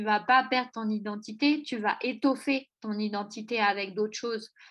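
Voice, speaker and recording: An unremarkable speaking voice moves at a fairly slow pace with fairly even intonation against a quiet background. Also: woman. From France, Auvergne. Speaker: podcast host. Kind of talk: interview.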